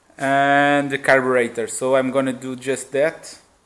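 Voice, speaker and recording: A man talks at a fairly slow pace with music in the background. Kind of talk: casual vlog chat. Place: garage. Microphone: phone near.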